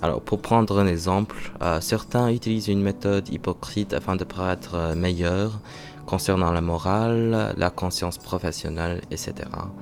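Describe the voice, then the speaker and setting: A man's very deep, low voice at a moderate pace, with ordinary pitch variation and music in the background. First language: not French (learner) (speaking French). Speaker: vlogger, French learner. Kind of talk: vlog monologue, reading own thoughts. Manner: halting, many hesitations.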